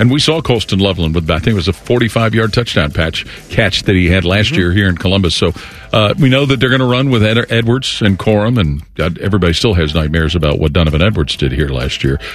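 This man speaks at a very fast pace in a very deep, low voice with lively intonation over noticeable background noise. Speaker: play-by-play broadcaster and analyst. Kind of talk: sports commentary. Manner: fluent, conversational, analytical.

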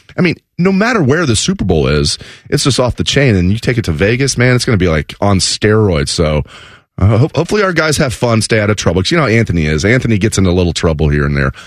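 Talking at a very fast pace with a Midwestern American accent, a man keeps very even loudness while his fairly low pitch moves in very wide swings. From Southwest Ohio, Dayton area. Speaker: sports radio fill-in host. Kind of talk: sports talk radio.

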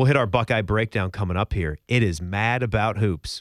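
The speaker has an American accent and an upbeat, energetic tone. The recording is very clean with a silent background, and the sound is dry and close with no echo. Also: man. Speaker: college basketball podcast host. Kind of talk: casual sports podcast banter, with radio-style patter. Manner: upbeat, energetic, chatty.

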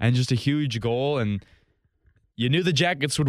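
A man speaks in an unremarkable speaking voice at a medium pitch, with ordinary pitch variation. His pace is moderate, and the recording is very clean with a silent background. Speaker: podcast host. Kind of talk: casual sports podcast talk, rambling and opinionated.

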